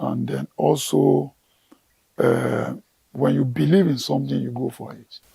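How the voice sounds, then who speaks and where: A man speaks at a fairly slow pace with a very deep, low pitch and vocal fry. His dark, mellow tone moves through very wide pitch swings. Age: 60s. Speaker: gardener and plant professional. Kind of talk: TV interview.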